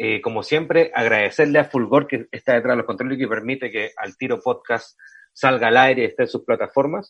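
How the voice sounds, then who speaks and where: A man at a fairly quick pace in a Chilean accent. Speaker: podcast host. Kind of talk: casual interview chat.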